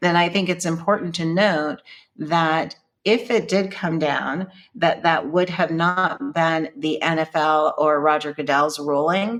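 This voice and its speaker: A woman speaks fairly slowly in a normal speaking voice, with ordinary pitch variation and very even loudness. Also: fairly low pitch for a woman. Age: 60s. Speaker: author and speaker. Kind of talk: casual chat.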